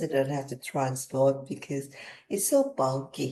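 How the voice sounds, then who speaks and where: A woman speaks with a Thai accent. Her tone is dark and mellow, and her pace is moderate. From Thailand. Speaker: business executive. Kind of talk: interview.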